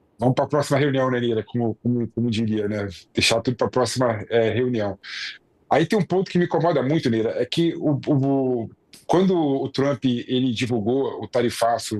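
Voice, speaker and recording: A man's medium-pitched voice at a moderate pace with very even loudness and ordinary pitch variation, dry and close with no echo over a quiet background. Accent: Rio de Janeiro. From Rio de Janeiro, Brazil. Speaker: political commentator. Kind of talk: news discussion. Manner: hesitant, many fillers.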